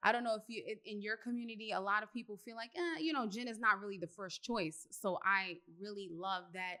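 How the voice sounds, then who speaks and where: Her tone is bright and sharp as the woman talks at a moderate pace. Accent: New York. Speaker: podcast host, interviewer. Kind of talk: casual interview chat.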